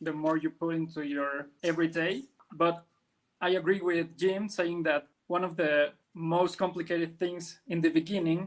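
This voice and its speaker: Speaking at a fairly slow pace, a man with a Spanish accent uses a high-pitched voice. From Mexico. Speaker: comic colorist and letterer. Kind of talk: podcast interview.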